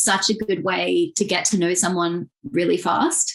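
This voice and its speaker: Speaking with an Australian accent, a woman makes very wide pitch swings. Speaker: journalist and digital strategist. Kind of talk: podcast interview.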